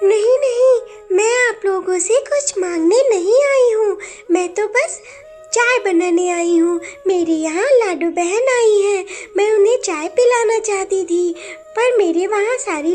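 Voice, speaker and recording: In a cartoonish character voice, a woman speaks at an extremely high pitch and a fairly slow pace over clear background noise. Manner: polite, gentle.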